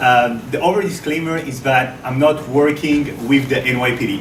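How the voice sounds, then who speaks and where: With audible room echo and noticeable background noise, a man speaks in a French accent at a fairly high pitch. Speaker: researcher. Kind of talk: lecture. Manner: halting.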